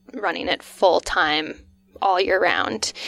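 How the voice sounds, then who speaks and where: A woman's voice, dry and close with no echo, over music in the background. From Northwestern Ontario, Canada (Vermilion Bay). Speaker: pizza restaurant co-owner. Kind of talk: casual interview chat.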